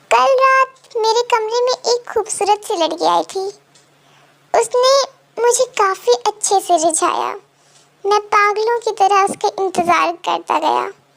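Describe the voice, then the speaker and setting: A woman uses a put-on character voice at an extremely high pitch. Her intonation is lively and her pace fairly slow. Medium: read story. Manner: teasing.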